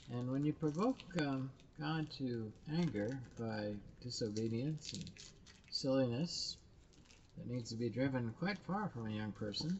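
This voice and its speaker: The man speaks fairly slowly at a medium pitch, with ordinary pitch variation. Long pauses come often. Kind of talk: casual commentary.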